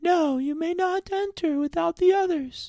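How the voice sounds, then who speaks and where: A put-on character voice sounds squeaky and extremely high. It moves along at a moderate pace. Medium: read story. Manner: authoritative.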